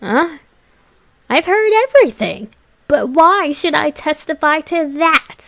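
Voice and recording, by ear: In a put-on character voice, a woman speaks at a fairly slow pace with an extremely high pitch, leaving long, frequent pauses.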